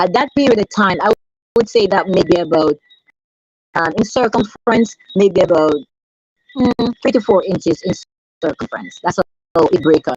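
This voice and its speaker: Her medium-pitched, somewhat breathy voice moves at a moderate pace with lively intonation and long, frequent pauses, in a dry, close sound with no echo. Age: 70s. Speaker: wife of a patient. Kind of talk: testimony.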